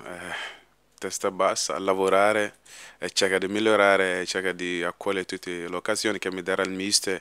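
In a very deep, low voice, a man speaks with monotone, flat intonation and a bright, sharp tone, the sound dry with no echo. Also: quiet background. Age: 20s. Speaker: professional footballer. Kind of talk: press conference. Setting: conference room at a stadium. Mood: calm, modest, smiling. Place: meeting room. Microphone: podium.

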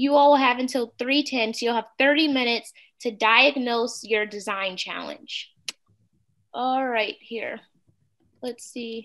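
Over a quiet background, a woman with an American accent speaks very slowly at a high pitch, her fairly even intonation broken by long, frequent pauses. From St. Louis, Missouri, US. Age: 30s. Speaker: workshop facilitator. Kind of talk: interactive workshop on video call. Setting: video call. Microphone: video call.

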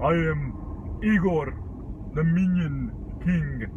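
Someone uses a put-on character voice at a very slow pace over loud background noise. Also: man. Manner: playful, pretend.

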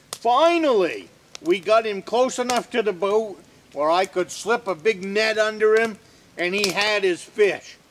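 A man's high-pitched voice, relaxed in tone, over light background noise. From northern Maine. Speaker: off-grid woodsman and video host. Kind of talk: casual how-to talk, then folksy anecdote storytelling. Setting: outdoors at a log cabin, filmed on location. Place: forest.

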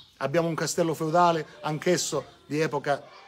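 Light background noise accompanies a man talking at a moderate speed. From Calabria, Ardore area (Reggio Calabria). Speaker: local election candidate. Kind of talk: campaign speech. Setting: outdoors in front of a church, live-streamed. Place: street. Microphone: camera far.

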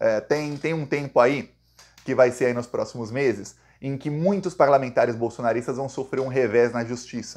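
With a quiet background, a man talks at a moderate pace with ordinary pitch variation. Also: medium pitch for a man. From Brazil. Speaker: political commentator. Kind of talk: political news commentary monologue. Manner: animated; casual, conversational. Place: home room. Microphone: phone near.

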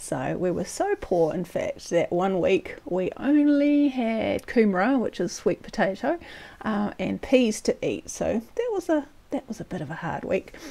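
A woman with a New Zealand accent speaks at a fairly slow pace. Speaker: storyteller. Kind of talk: personal story narration. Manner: casual, conversational. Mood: amused, cheerful. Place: home room. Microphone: lapel.

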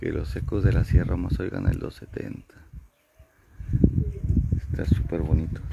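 Low-pitched for a man, this male voice has a dark, mellow tone with a slightly husky edge, vocal fry, and little pitch movement. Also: moderate pace.

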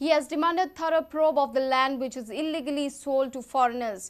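This woman's voice sits high in pitch. Her pitch varies in an ordinary way. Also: quiet background. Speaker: news anchor. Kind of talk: news reading, brisk headline bulletin. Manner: formal, even, steady newsreader pace. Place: studio.

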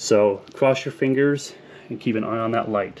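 Intonation stays fairly even as a man talks at a moderate pace. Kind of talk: tutorial. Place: garage. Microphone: phone near.

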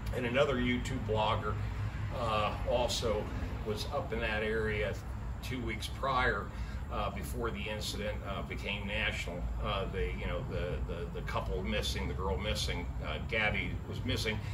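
The speaker is a man with a moderate pace. Noticeable background noise runs behind him. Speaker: van life vlogger. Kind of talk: casual vlog chat. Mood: somber, saddened. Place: street. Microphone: camera far.

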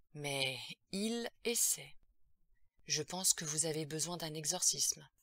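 Using a put-on character voice, a woman speaks slowly in a low, bright and sharp tone with lively intonation.

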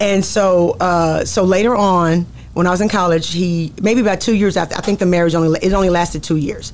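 Over light background noise, a woman with a Southern US accent speaks at a fairly quick pace with fairly even intonation. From Texas. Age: 40s. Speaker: pastor. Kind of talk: interview testimony. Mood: reflective, earnest storytelling. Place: studio. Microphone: studio mic.

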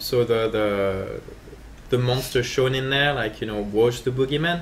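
At a moderate pace, an ordinary speaking voice with ordinary pitch variation comes through over light background noise. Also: man. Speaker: game designer. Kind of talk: live gameplay commentary. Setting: livestream. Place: office.

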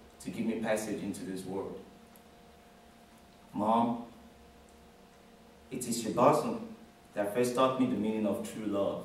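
A man at a moderate pace with long, frequent pauses, fairly even intonation and audible room echo. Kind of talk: formal tribute speech. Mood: earnest, grateful. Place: classroom. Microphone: camera far.

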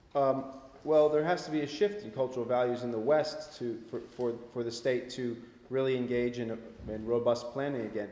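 Audible room echo carries a man's voice as he speaks at a moderate pace with ordinary pitch variation. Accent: American. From US Northeast (Vermont). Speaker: author and researcher; guest. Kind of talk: public talk and discussion. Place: hall.

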